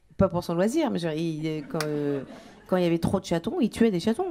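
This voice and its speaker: The intonation in this woman's speech is lively. She talks very fast. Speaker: stand-up comedian. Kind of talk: stand-up comedy routine.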